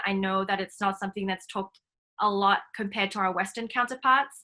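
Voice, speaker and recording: At a very fast pace, a woman speaks in a medium-pitched, bright, sharp voice against a quiet background. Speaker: nonprofit founder and workshop facilitator. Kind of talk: online workshop talk. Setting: video call.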